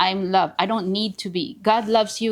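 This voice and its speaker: Fairly even intonation in a Filipino accent, on a very clean recording with a silent background. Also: woman. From Philippines, small town. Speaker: realtor. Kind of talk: podcast interview. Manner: halting.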